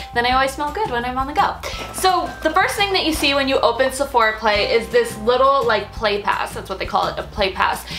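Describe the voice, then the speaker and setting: Clear music plays in the background as a woman talks at a fairly quick pace in a high voice. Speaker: beauty vlogger. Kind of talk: casual vlog chat. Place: home room.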